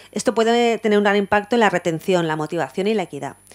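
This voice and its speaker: Words pour out of a woman at a very fast pace. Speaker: university law lecturer. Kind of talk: conference talk. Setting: university lecture hall with audience.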